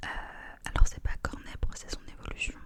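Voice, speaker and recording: A woman is whispering. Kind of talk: ASMR close-up whispered rambling. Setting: close microphone ASMR recording. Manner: whispered, soft-spoken, intimate.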